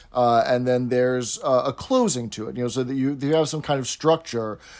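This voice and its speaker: Here is a man with a plain, everyday voice and an American accent. He talks at a fairly quick pace with a medium pitch and fairly even intonation. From New York City area. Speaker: podcast co-host. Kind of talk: tutorial; casual chat. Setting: video call.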